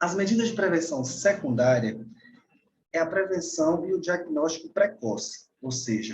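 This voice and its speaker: This man talks at a fairly slow pace, his fairly high pitch swinging very widely. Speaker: doctor giving a lecture. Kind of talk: lecture. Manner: halting, many fillers and repeats.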